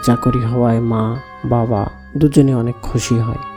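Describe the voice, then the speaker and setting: Music in the background behind a man's medium-pitched voice with fairly even intonation. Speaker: radio-style horror story host. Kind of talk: first-person horror story reading.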